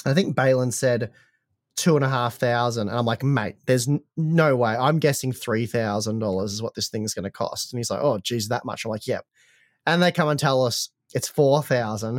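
A man with an Australian accent, medium in pitch, at a moderate pace with ordinary pitch variation, recorded dry and close with no echo against a silent background. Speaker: tech podcast co-host. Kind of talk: casual chat. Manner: halting, many repetitions.

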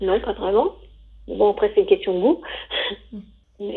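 Her pitch rises and falls in very wide swings as this woman speaks. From France, Savoie. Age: 50s. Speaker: divorced single woman interviewed about dating. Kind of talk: interview testimony.

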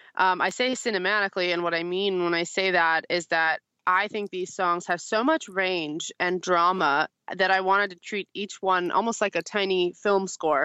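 With a bright, sharp tone, a woman speaks at a moderate pace and fairly even intonation in a dry, close sound with no echo and a quiet background. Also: medium pitch for a woman. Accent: American. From US, Syrian American family. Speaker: singer-songwriter. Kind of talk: interview. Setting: video call from her car. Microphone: phone via Skype.

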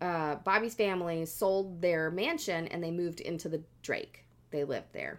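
A woman speaks in a plain, everyday voice, fairly low-pitched for a woman, with fairly even intonation at a moderate pace. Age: 30s. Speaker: podcast co-host. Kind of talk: casual chat with storytelling.

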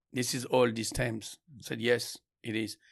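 On a very clean recording with a silent background, a man with a French accent speaks at a moderate pace and medium pitch. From France, Champagne. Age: 50s. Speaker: winemaker. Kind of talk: casual interview. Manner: halting with repetitions.

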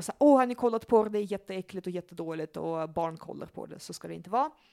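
Very fast and with lively intonation, a woman talks in a dry, close sound with no echo. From Russia (Leningrad), moved to Sweden young. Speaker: psychologist and sexologist. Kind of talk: casual chat. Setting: at her home.

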